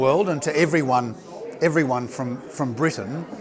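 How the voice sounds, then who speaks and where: A man's fairly high voice in an Australian accent, at a moderate pace with ordinary pitch variation, amid noticeable background noise and audible room echo. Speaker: politician. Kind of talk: interview. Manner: hesitant, many fillers.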